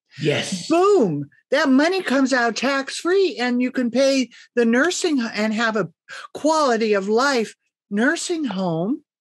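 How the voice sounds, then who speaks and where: Very slow speech from a woman with a high pitch, music playing in the background. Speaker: guest. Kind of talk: interview answer. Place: home room. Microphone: video call.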